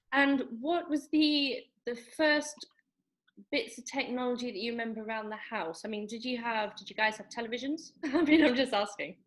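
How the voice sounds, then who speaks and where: Speaking with an English accent at a moderate pace, a woman uses a high pitch, ordinary pitch variation and big swings in loudness. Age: 30s. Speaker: podcast host, channel owner. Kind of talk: casual chat.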